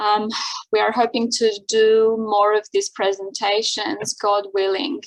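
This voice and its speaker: This woman speaks with an Armenian accent at a fairly slow pace. Her pitch is fairly high. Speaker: seminar host and interpreter. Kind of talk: event introduction. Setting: video call. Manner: hesitant, many fillers.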